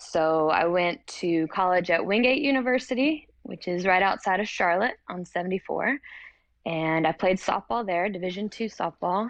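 Speaking with an American accent, a woman uses an unremarkable speaking voice, a medium pitch, lively intonation and a moderate pace. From North Carolina (Hickory). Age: 30s. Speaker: CrossFit athlete and university lecturer. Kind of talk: casual interview. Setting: recording studio.

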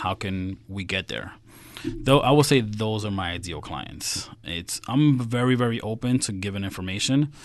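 A man with an American accent talks at a medium pitch with ordinary pitch variation. It is a plain, everyday voice. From US, New York (Queens). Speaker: financial strategist. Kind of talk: casual interview.

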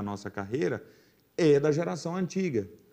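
His pitch swinging very widely, a man moves through his words at a fairly slow pace. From Brazil, Goiás (raised in Jaraguá). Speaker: sertanejo singer. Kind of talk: casual chat.

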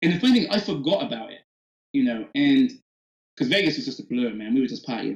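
A man with an Oxford accent talks very fast at a high pitch, his pitch swinging very widely. His loudness shifts a lot, and long pauses come often. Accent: British English (Oxford). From England, Oxford. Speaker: hip-hop cosplayer and bartender. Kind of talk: casual interview chat.

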